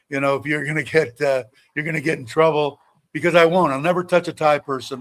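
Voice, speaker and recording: Talking at a very fast pace, a man keeps his fairly high voice at fairly even intonation. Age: 60s. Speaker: livestreamer. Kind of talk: casual chat. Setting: livestream. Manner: halting.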